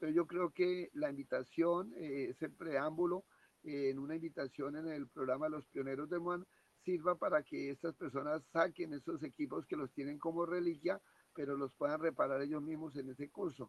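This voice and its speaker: This man has an unremarkable speaking voice, fairly high in pitch, with fairly even intonation. He talks at a moderate pace, and the sound is dry and close with no echo. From Colombia. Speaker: ham radio operator caller. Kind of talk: formal greeting over radio net. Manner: formal.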